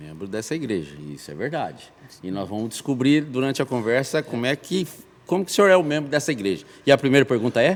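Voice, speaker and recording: Talking at a very fast pace, a man at medium pitch makes very wide pitch swings and big swings in loudness. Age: 50s. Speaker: podcast host. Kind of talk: casual chat.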